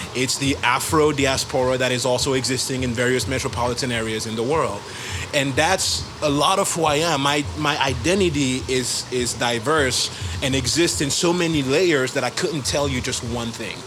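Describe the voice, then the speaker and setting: Noticeable background noise and audible room echo surround a man speaking at a moderate pace in a French accent, his medium pitch showing ordinary variation. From Gabon. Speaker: musician. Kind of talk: interview.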